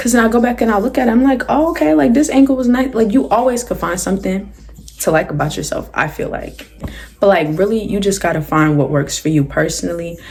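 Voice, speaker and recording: A woman's very fast speech with very wide pitch swings. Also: medium pitch for a woman. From South Jersey, US. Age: 18. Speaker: YouTuber, college student. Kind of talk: casual Q&A vlog. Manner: animated.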